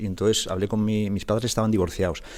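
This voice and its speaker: A man speaks at a very fast pace. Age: 60s. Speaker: graphic designer and solo sailor. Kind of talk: podcast interview. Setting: guest's own studio. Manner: halting, with frequent repetitions.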